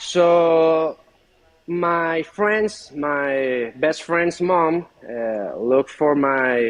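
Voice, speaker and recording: A man speaks with a Spanish accent at a very slow pace. His intonation is lively. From Venezuela. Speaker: furniture maker. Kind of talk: interview. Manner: halting.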